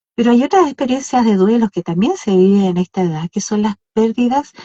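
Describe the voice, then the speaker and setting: Somewhat breathy delivery with lively intonation at a moderate pace. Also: woman. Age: 60s. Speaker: podcast co-host. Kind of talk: casual chat. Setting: live Instagram stream.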